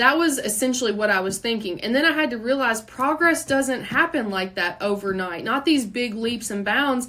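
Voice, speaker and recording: Speaking with a Kentucky accent, a woman uses fairly high pitch and lively intonation, with hardly any pauses. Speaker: podcast host, entrepreneur. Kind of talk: unscripted solo podcast monologue. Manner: fast; casual, conversational.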